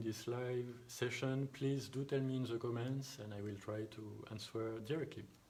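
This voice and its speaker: A man with a strong French accent at a moderate pace and medium pitch, with fairly even intonation, audible room echo and noticeable background noise. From France. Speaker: thereminist. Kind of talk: live online Q&A. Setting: home live stream. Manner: halting.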